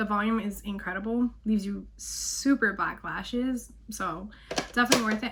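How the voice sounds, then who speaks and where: A woman with a fairly high pitch at a moderate pace, an unremarkable speaking voice. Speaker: beauty vlogger. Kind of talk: makeup tutorial voiceover. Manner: casual.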